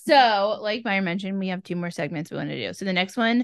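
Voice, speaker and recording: With lively intonation and a medium pitch, a woman talks at a fairly quick pace in an unremarkable speaking voice, the background quiet. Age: 20s. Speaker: podcast co-host. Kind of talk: casual chat.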